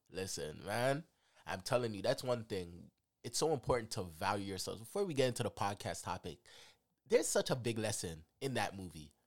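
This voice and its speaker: With an animated tone and lively intonation, a man talks at medium pitch. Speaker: podcast host. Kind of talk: casual chat.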